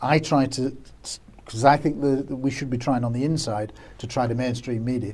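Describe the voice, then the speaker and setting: A man talks at a fairly quick pace and medium pitch. His voice is somewhat breathy, with fairly even intonation. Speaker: former police officer, UFO magazine publisher. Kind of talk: interview. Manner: fast.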